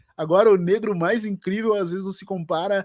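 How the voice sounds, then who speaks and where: With music playing in the background, a man talks at a moderate pace in an animated tone. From Brazil, Porto Alegre. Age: 40s. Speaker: writer and podcaster. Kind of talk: interview.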